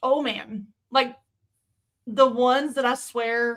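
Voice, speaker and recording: A woman speaks in a high pitch with a bright, sharp tone and monotone, flat intonation. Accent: slight Southern US. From US South. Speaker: streamer. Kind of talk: casual chat. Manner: halting.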